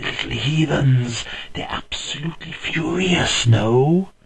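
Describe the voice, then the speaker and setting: A man's put-on character voice, fairly high in pitch with ordinary pitch variation, at a fairly slow pace. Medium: read story. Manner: relaxed, chuckling.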